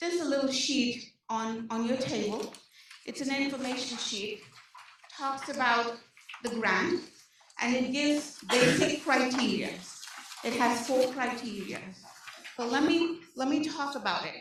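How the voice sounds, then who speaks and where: Amid noticeable background noise and audible room echo, a high-pitched woman speaks at a fairly slow pace with ordinary pitch variation and long, frequent pauses. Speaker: social services case manager. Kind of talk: presentation to community meeting. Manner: animated.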